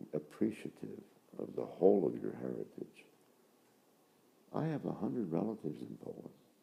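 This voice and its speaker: At a moderate pace, a man's very deep, dark, mellow voice with vocal fry sweeps widely in pitch, swings greatly in loudness, and breaks into long, frequent pauses. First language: Polish. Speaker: Franciscan friar, priest. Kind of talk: interview. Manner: halting, with frequent repetitions.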